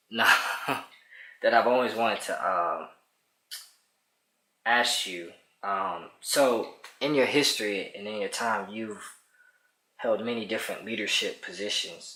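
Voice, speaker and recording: The pace is fairly slow. Long pauses come often. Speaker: interviewer, grandchild. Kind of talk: interview questions.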